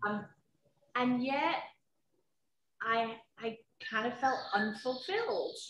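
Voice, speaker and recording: In a room with audible echo, a woman with a high pitch speaks at a very slow pace, leaving long, frequent pauses. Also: ordinary pitch variation. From UK. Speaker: HR professional. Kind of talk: personal testimony interview. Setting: video call from home. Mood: reflective, personal. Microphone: video call.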